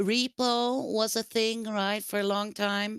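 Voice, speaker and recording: A woman's fairly high, fairly even voice with a non-native accent at a very slow pace, dry and close with no echo, in a very clean recording with a silent background. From Sweden. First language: Swedish. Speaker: streamer. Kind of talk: casual chat. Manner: halting, searching for words.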